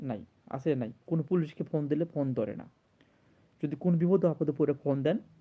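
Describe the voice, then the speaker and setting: This man has a dark, mellow tone and a fairly high pitch. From Bangladesh. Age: 30s. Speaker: video blogger. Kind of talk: emotional monologue to camera. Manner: halting, repetitive.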